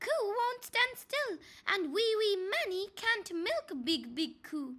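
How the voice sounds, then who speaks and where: Someone performs a put-on character voice with very wide pitch swings. The delivery is fairly slow. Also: woman, extremely high pitch for a woman. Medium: read story. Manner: repetitive, plaintive.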